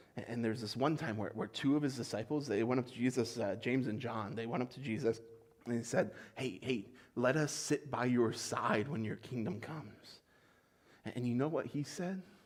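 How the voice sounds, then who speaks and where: In an unremarkable speaking voice, the speaker moves at a fairly quick pace with ordinary pitch variation. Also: man, medium pitch for a man. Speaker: pastor. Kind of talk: sermon delivered to a congregation. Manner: conversational, warm.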